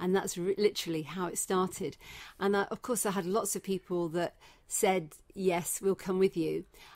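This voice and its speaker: With a Leicester accent, a woman speaks at a moderate pace in a medium pitch, her intonation fairly even, in a very clean recording with a silent background. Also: dry, close sound with no echo. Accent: English (Leicester), kept. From England, Leicester (Midlands). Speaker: breast cancer survivor and charity founder. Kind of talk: interview. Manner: hesitant, many fillers.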